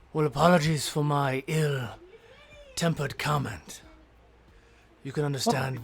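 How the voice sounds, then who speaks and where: Fairly slow and pitched low-to-middle, the speech comes in a put-on character voice. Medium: actual play. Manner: blunt, suspicious.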